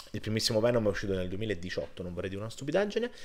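A male voice is heard. It sits fairly low. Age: 30s. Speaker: film reviewer. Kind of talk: video review monologue. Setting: home recording on laptop. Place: home room. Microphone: webcam.

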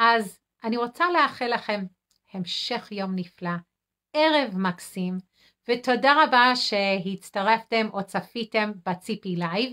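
Against a quiet background, a woman with an English accent talks at a very slow pace and a fairly high pitch, with ordinary pitch variation. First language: English (speaking Hebrew). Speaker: nurse and food addiction counselor; healthy eating coach. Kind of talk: weekly live video talk. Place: home room. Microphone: phone near.

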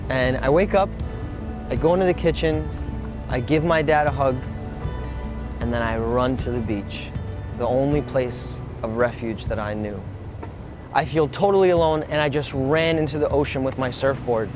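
A man at a medium pitch, with long, frequent pauses, over clear background music in a dry sound with no echo. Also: lively intonation, moderate pace. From Brooklyn, New York City; New York City. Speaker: motivational speaker. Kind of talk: keynote speech; motivational talk to camera. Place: beach. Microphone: lapel.

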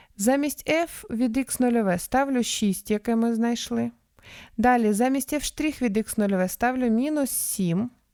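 A woman speaks at a high pitch and a very slow pace, her tone dark and mellow. Her loudness stays very even, her pitch varies in an ordinary way, and the recording is very clean with a silent background. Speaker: math tutor. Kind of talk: tutorial. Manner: explanatory, friendly.

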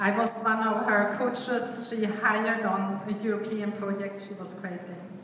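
A woman talks in a flat, monotone way with hardly any pauses. There is audible room echo and light background noise. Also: moderate pace. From Sweden. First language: Swedish. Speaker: event host and coach. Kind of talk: speaker introduction. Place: hall. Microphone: camera far.

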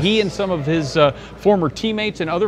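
Noticeable background noise sits behind a man speaking at a very fast pace. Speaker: interviewer. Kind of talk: interview questions. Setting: outdoors at an event. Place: hall.

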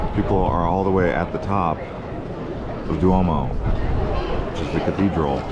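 Dry sound with no echo over loud background noise. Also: man. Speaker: travel vlogger. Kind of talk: travel vlog narration. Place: street. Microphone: phone near.

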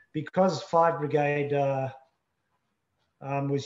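Audible room echo surrounds a man speaking at a fairly slow pace with fairly even intonation. The background is quiet. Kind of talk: interview answer. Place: home room. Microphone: video call.

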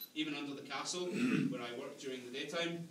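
A man at a very fast pace with fairly even intonation, amid noticeable background noise. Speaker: ghost tour guide. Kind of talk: tour guide storytelling. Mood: dramatic, then wry humour. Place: tunnel cave. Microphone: camera far.

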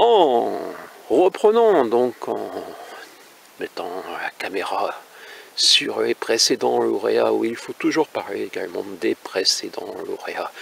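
At a fairly slow pace, a man with a fairly low pitch makes big pitch swings, his voice showing vocal fry and a slightly husky edge.

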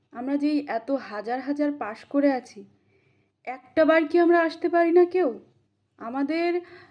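Her voice sits high in pitch, with a dark, mellow tone, ordinary pitch movement and big swings in loudness from this woman. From West Bengal, India (Purba Bardhaman). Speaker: qualified teacher job candidate, protest activist. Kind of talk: appeal to fellow protesters. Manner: impassioned.

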